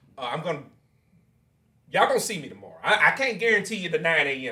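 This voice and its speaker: At a very fast pace, a man with a high pitch and a bright, sharp tone uses lively intonation and big swings in loudness, with audible room echo. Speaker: podcast host. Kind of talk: casual interview.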